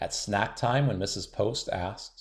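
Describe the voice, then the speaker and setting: The recording is very clean with a silent background. A man speaks fairly slowly with lively intonation and a somewhat breathy voice. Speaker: children's book reader. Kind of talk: bedtime picture book read-aloud.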